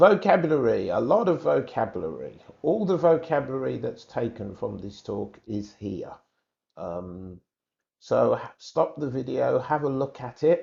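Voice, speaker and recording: Loudness swings widely as a man speaks at a fairly slow pace. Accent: British. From England. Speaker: English exam teacher. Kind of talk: tutorial.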